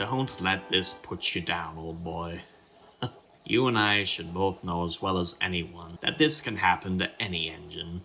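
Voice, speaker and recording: A man puts on a character voice with a very deep, low pitch, keeping a moderate pace. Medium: audio drama.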